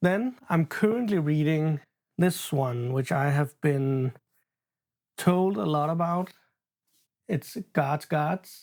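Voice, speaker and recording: A non-native accent at a very slow pace with long, frequent pauses, on a very clean recording with a silent background. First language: not English. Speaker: booktuber and horror novelist. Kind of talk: casual unscripted book chat vlog. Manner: halting, stumbles over words.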